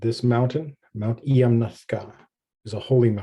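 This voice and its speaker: A man speaks fairly slowly in a somewhat breathy voice, with a dark, mellow tone and fairly even intonation. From Canada, Stoney Nakoda (Assiniboine) community. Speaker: pastor and theologian. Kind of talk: presentation with prayer and land acknowledgement. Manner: measured, reverent.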